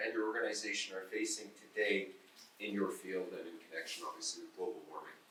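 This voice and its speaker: A man's voice carries audible room echo. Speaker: panel moderator. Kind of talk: conference panel moderation. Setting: conference panel with audience. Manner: loud.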